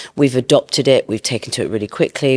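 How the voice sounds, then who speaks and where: In a British accent, a woman speaks with a very deep, low pitch and fairly even intonation, the sound dry and close with no echo. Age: 50s. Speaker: beauty entrepreneur. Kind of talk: interview. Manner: hesitant, with repeated words.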